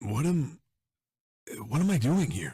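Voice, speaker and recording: Putting on a character voice, a man sounds raspy at a fairly high pitch with very wide pitch swings. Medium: actual play. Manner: halting, gruff, hard-boiled.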